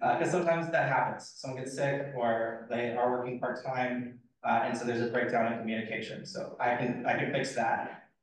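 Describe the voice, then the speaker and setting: A man's medium-pitched voice at a fairly quick pace, fairly even intonation, hardly any pauses, and audible room echo. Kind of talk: presentation Q&A.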